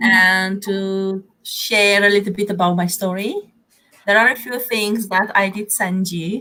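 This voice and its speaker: In a Romanian accent, a woman speaks at a fairly slow pace and medium pitch, with a bright, sharp tone and monotone, flat intonation. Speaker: therapeutic counselor and business coach. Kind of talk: interview.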